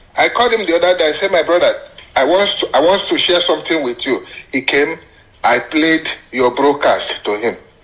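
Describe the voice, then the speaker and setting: A man speaking at a fairly quick pace amid noticeable background noise. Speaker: caller. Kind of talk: phone-in comment.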